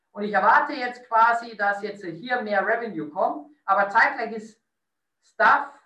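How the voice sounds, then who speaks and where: In a room with audible echo, a raised, projected voice with a bright, sharp tone moves at a moderate pace with ordinary pitch variation. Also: man. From Lower Bavaria, Bavarian Forest. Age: 30s. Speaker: hotel director. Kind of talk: interview.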